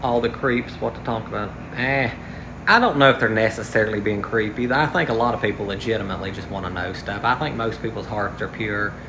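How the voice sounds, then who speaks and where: A medium-pitched man at a very fast pace with fairly even intonation, amid audible room echo and noticeable background noise. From West Virginia. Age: 30s. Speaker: livestreamer. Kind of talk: casual livestream chat. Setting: outdoors. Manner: halting, tongue-tied.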